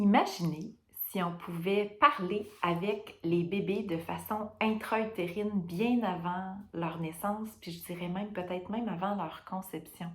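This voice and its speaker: A woman speaks in a Quebec accent. Her intonation is fairly even and her pace fairly slow. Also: medium pitch for a woman. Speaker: perinatal care worker. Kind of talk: testimony. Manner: hesitant, many fillers.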